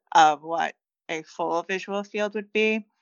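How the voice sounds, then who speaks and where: This is a normal speaking voice with an American accent. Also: woman. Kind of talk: casual interview.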